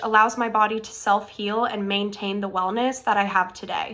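A woman with an American accent, a bright, sharp tone, and a moderate pace. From Florida, US. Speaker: medical school applicant. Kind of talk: scripted personal statement video. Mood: earnest, warm. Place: home room. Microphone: phone near.

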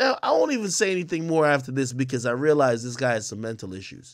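Over a quiet background, a man talks at a fairly quick pace. His intonation is lively. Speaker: live streamer reacting to a video. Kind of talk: commentary. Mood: mocking, exasperated. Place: studio.

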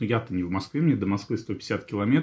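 A man with a fairly low pitch and ordinary pitch variation talks in a normal speaking voice. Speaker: vlogger. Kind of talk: casual vlog chat. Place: kitchen. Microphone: phone near.

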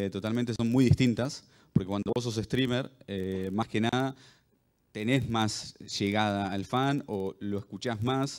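With long, frequent pauses and fairly even intonation, a man of medium pitch speaks at a fairly slow pace against a quiet background. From Argentina. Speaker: pro gamer and streamer. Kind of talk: panel discussion. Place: hall. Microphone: handheld.

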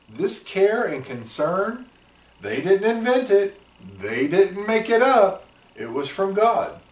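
In a room with audible echo, a man with a high voice speaks at a very slow pace, his pitch swinging very widely. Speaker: church class teacher. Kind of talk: Bible lesson talk. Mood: warm, gentle teaching. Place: office.

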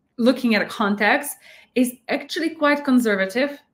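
A somewhat breathy woman's voice with a Slovak accent and ordinary pitch variation. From Slovakia. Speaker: YouTube reaction channel host. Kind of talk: casual reaction commentary. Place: home room.

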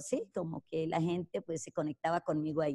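Over a quiet background, a woman speaks at a fairly quick pace with fairly low pitch and a dark, mellow tone. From Colombia, rural Caldas. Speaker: network marketing entrepreneur; interviewee. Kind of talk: interview testimony. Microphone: video call.

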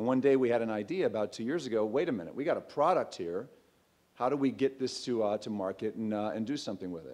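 This man speaks at a very fast pace. His intonation is lively. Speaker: startup founder. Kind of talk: pitch presentation. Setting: stage with audience. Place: hall. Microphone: podium.

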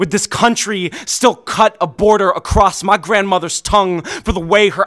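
A man's high-pitched voice with an intense tone, fairly even intonation and a fairly slow pace over music in the background. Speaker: slam poet. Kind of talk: slam poem performance. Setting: stage with audience. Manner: intense, impassioned, rhythmic delivery. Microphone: studio mic.

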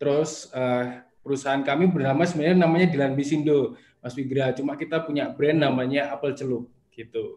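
A normal speaking voice at a fairly quick pace, with fairly even intonation. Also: man, fairly high pitch for a man. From Batu, Malang, East Java, Indonesia; East Java, Indonesia. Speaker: small business founder; guest. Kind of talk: interview. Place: home room. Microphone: video call.

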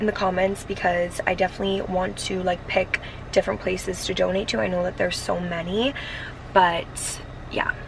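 The recording sounds dry with no echo, though noticeable background noise is present. A woman speaks at a moderate pace with fairly even intonation. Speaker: vlogger. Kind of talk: casual vlog chat. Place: car. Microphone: phone near.

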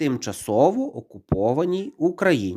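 Pitch swings very widely as a man talks at a very slow pace. Behind him the background is silent, and the recording is very clean. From Ukraine. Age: 40s. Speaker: YouTuber. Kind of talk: opinion monologue to camera.

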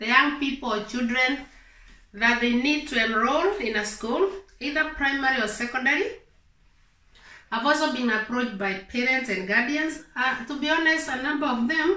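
Against a quiet background with audible room echo, a woman speaks in a raised, projected voice with a bright, sharp tone and ordinary pitch variation. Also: moderate pace. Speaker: advice vlogger. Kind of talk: explanatory vlog talk. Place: home room.

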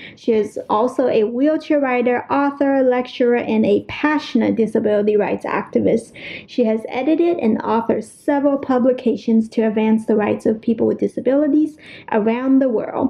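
Over noticeable background noise, a woman talks at a moderate pace in a high pitch, with very even loudness and fairly even intonation. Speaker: podcast host. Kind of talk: casual interview.

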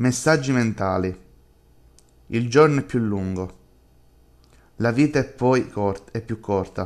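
A man's menacing voice at medium pitch, very slow, with long, frequent pauses and ordinary pitch variation. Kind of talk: horror audio drama reading, dramatic narration of a creepy inner dialogue. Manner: shifts between two voices, a tormented self and a menacing alter ego.

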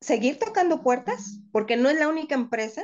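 Against a quiet background, a woman is speaking. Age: 50s. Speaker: call center worker living with diabetes; interviewee. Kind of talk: personal testimony interview. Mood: warm, upbeat, emotional. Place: home room. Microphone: video call.

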